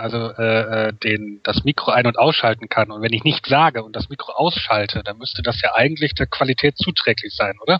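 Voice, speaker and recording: With an unremarkable speaking voice, this man talks at a medium pitch and ordinary pitch variation. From western Germany, Rhineland (Wuppertal/Cologne area). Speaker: podcast guest. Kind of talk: casual chat.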